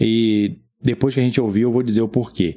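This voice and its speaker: With a Brazilian accent, a man speaks at a medium pitch. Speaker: film podcast host. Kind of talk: casual chat.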